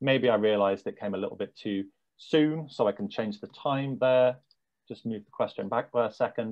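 A man speaks at a moderate pace with lively intonation against a quiet background. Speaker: head of technology at an edtech company; software demonstrator. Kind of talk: software demo presentation. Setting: video call with screen sharing. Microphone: webcam.

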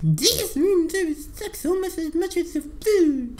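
An extremely high-pitched voice speaks at a fairly slow pace over clear background noise.

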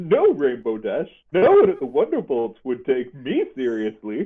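A man speaks at a fairly slow pace. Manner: sly, flattering.

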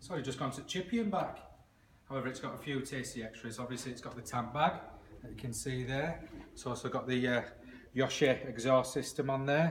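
A somewhat breathy man speaks at a fairly quick pace with ordinary pitch variation, light background noise behind him. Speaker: motorbike salesman. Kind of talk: casual sales walkaround. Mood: upbeat, jokey. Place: shop. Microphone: phone near.

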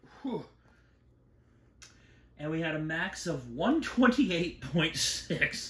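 A man speaks at a fairly high pitch and a very slow pace, with very wide pitch swings. Room echo is audible, along with light background noise. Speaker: fire alarm collector. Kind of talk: casual talk to camera. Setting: garage. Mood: excited, impressed by loudness. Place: garage. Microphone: phone near.

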